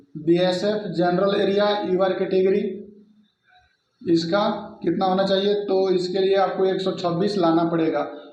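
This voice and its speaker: In a room with audible echo, a man speaks in a high, monotone voice with flat intonation and very even loudness. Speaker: exam coaching teacher. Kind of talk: tutorial.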